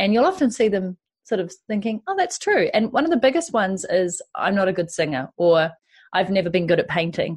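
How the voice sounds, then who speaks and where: A woman's medium-pitched, somewhat breathy voice at a fairly quick pace, with lively intonation. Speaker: podcast host and entrepreneur. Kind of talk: casual interview. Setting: remote call.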